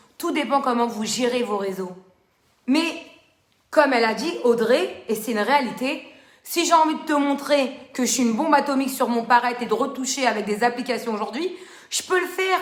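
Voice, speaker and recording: Loud and high-pitched, a woman talks at a moderate pace with ordinary pitch variation in a room with audible echo. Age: 30s. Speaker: social media live host. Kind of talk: live stream talk to viewers. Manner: animated.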